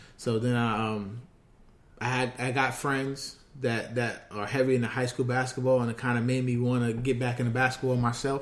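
In a New York accent, a man speaks at a medium pitch with monotone, flat intonation and audible room echo. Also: moderate pace. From New York, Queens. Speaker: basketball scout and podcast host. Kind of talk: casual chat.

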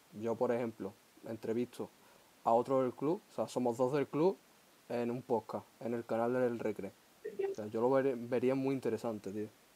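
This man talks with an Andalusian accent at a medium pitch and a fairly slow pace. His intonation is fairly even, with long, frequent pauses and noticeable background noise. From Huelva, Andalusia. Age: 20s. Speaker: podcast host. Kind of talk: casual chat.

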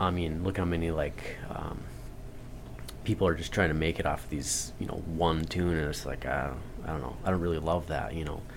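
With audible room echo and noticeable background noise, a man with a very deep, low pitch speaks at a fairly quick pace and fairly even intonation. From North Dakota, Turtle Mountain Chippewa Reservation. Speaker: blues musician. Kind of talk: casual chat. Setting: radio studio.

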